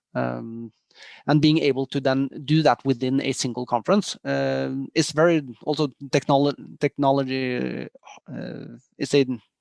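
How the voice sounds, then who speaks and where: A man with a Norwegian accent speaks at a fairly slow pace, his voice dry and close with no echo against a quiet background. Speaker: tech company executive. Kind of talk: interview. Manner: hesitant with many fillers.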